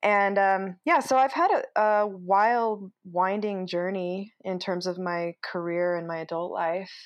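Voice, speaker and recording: A woman talks in an ordinary speaking voice with a medium pitch. Her intonation is fairly even, and the background is quiet. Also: fairly slow pace. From Utah. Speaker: entrepreneur. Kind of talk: interview. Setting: home office.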